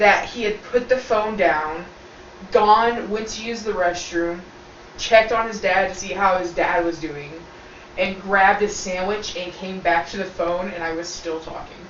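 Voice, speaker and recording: Moderate pace and fairly even intonation, with big swings in loudness, audible room echo and noticeable background noise. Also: woman, medium pitch for a woman. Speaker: video co-host. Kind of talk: casual chat. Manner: talkative.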